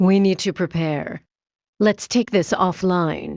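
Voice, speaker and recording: Using a put-on character voice, a woman talks at a fairly slow pace and medium pitch with fairly even intonation. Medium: video game. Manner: terse, dry, deadpan.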